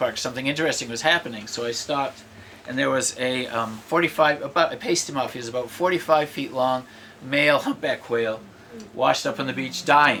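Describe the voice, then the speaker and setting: Noticeable background noise sits behind a man with an American accent. He talks at a fairly quick pace with lively intonation. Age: 60s. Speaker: poet. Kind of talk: casual talk between poems; poetry reading. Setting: live reading with audience. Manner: conversational, hesitant.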